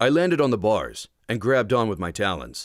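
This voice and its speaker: A man at a medium pitch with vocal fry and lively intonation, moderate in pace, on a very clean recording with a silent background and a dry, close sound with no echo. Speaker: audiobook narrator, voice talent. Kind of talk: audiobook narration of a young adult novel. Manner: first-person, tense, action-driven narration.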